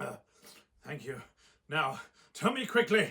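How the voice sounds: Putting on a character voice, a man speaks slowly in a fairly high, bright and sharp tone with vocal fry and big pitch swings.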